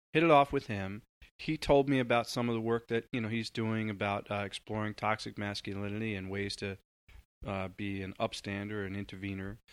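In a very clean recording with a silent background, a man talks in an unremarkable speaking voice, fairly low in pitch, at a moderate pace with fairly even intonation. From US Northeast, Long Island, New York. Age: 40s. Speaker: community organizer, former journalist. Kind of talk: interview conversation.

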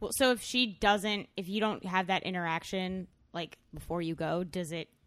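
This woman has a fairly low pitch and an ordinary speaking voice. She speaks at a moderate pace with ordinary pitch variation. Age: 20s. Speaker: comedian, podcast guest. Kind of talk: casual chat.

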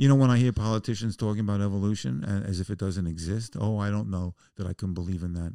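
A very fast man with an American accent, fairly low in pitch and dark and mellow in tone, ordinary pitch variation, hardly any pauses, on a very clean recording with a silent background. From US Northeast, the Bronx, New York City. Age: 70s. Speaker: musician and comedian. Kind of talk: casual chat. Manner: animated.

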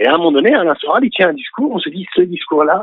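A man talks fairly quickly in a high voice with lively intonation. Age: 40s. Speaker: activist and art teacher. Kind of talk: phone-in interview. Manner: halting.

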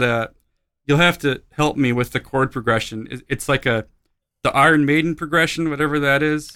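A bright, sharp tone at a moderate pace with ordinary pitch variation, in a very clean recording with a silent background. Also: man. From Alaska. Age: 30s. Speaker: musician. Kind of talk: casual chat.

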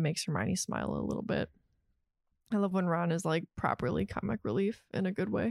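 A woman with vocal fry and a fairly low pitch at a very fast pace, in a dry, close sound with no echo. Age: 30s. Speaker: podcast co-host. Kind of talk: casual chat.

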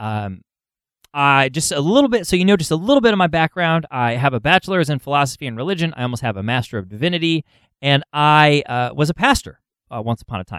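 Very fast and fairly high-pitched, a man speaks with lively intonation in a dry, close sound with no echo, on a very clean recording with a silent background. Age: 30s. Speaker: funeral celebrant and podcast host. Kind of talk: podcast monologue. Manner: hesitant with fillers.

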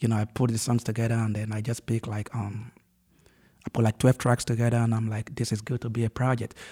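Recorded very cleanly with a silent background and a dry, close sound with no echo, a man speaks at a very fast pace in a dark, mellow, somewhat breathy tone, with a medium pitch and monotone, flat intonation. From Nigeria. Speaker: Afrobeats artist. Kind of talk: casual interview. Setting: studio.

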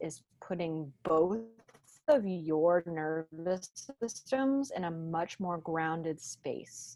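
A woman uses a put-on character voice, resonant and fairly low, with a calm tone. She moves at a very slow pace but with lively intonation. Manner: calm, grounded.

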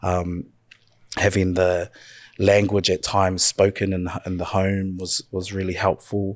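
A man with a very deep, low pitch, in dry, close sound with no echo, on a very clean recording with a silent background. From New Zealand, North Island (Murupara). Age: 30s. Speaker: community youth worker. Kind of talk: casual interview conversation. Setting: studio, in person.

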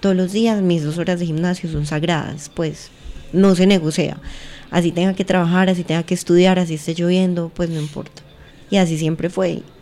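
A woman speaks in a fairly low pitch with monotone, flat intonation against noticeable background noise. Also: moderate pace. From Colombia, Pereira (coffee region). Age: 20s. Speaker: athlete and cannabis user. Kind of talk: casual chat.

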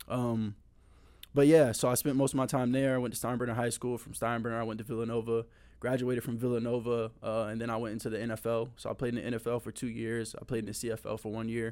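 A man with an American accent talks at a very fast pace. His medium-pitched voice stays monotone and flat. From Tampa, Florida. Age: 20s. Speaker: former football player and youth camp organizer. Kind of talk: testimony; casual chat.

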